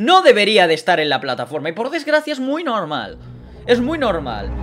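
Over faint background music, a man talks at a moderate pace in an animated tone. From Spain. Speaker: streamer. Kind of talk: live stream monologue. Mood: indignant about online hate. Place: home room. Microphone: studio mic.

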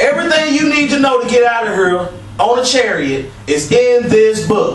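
The man's voice is extremely high in pitch, with lively intonation. Light background noise and audible room echo surround it. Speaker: street preacher / religious channel co-host. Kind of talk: religious discussion, preaching. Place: empty room.

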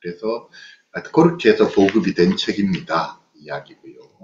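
With light background noise and audible room echo, a man talks at a moderate pace as his pitch swings very widely. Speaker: psychologist lecturer. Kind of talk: online lecture with book reading. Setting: video call. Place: home room. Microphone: webcam.

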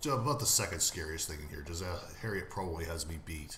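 A man's very deep, low voice at a very fast pace with ordinary pitch variation, amid audible room echo and light background noise. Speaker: game player narrator. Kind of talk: casual gameplay commentary.

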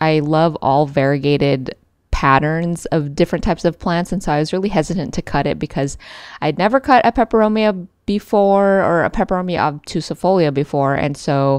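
In a quiet background with a dry sound and no echo, a woman talks at a fairly quick pace with a fairly low pitch and ordinary pitch variation. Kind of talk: casual vlog chat. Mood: enthusiastic, fond of plants. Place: home room. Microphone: phone near.

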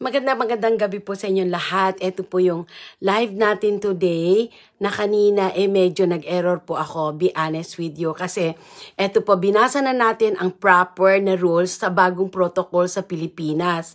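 In a quiet setting, a female speaker goes at a moderate pace. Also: fairly even intonation. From Philippines. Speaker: vlogger and marriage consultant; livestream host. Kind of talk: live stream reading rules aloud. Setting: live video at in-laws' home. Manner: informal, halting. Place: home room. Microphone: earbuds.

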